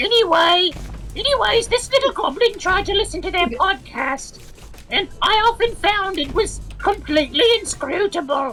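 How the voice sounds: A woman puts on a character voice at an extremely high pitch, raspy, creaky and hissing, talking at a moderate pace over clear background noise.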